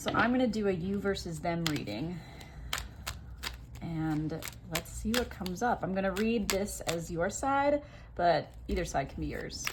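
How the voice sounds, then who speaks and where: A woman's mumbling, fairly low in pitch, at a moderate pace with long, frequent pauses and lively intonation, amid noticeable background noise and audible room echo. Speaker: tarot reader. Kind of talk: tarot reading video. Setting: at home.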